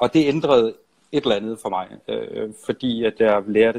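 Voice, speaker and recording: The man's voice sits at a medium pitch, and his intonation is fairly even. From Denmark, Funen (Nyborg). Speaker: songwriter and musician. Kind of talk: casual interview. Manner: halting.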